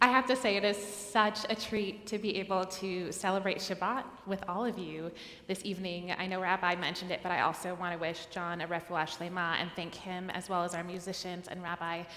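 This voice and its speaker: Audible room echo surrounds speech with fairly even intonation. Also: woman, medium pitch for a woman. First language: Spanish. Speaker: cantor. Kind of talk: service introduction. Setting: synagogue sanctuary service.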